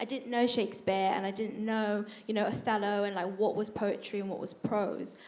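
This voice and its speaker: With audible room echo, a woman speaks fairly quickly at a fairly high pitch. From northern England, County Durham. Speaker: university student, panellist. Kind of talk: panel discussion. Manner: hesitant, many repetitions.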